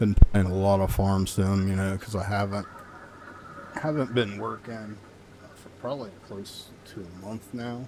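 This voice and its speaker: Soft-spoken and fairly low in pitch, a man talks at a fairly slow pace with fairly even intonation. His loudness swings widely, and noticeable background noise is present. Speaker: gaming live streamer. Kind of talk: casual live stream commentary.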